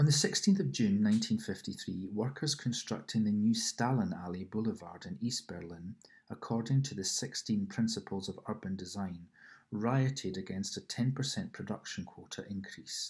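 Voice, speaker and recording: A somewhat breathy man with a Scottish accent talks at a moderate pace with lively intonation on a very clean recording with a silent background. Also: medium pitch for a man. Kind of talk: ASMR reading of an encyclopedia article. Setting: home apartment with background noise.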